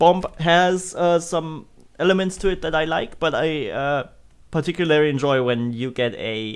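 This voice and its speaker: Here a man speaks with a slight German accent. His voice is fairly high, with lively intonation. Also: very clean recording, silent background. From Germany. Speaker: video game streamer. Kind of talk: live gameplay commentary. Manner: casual, with frequent fillers and restarts.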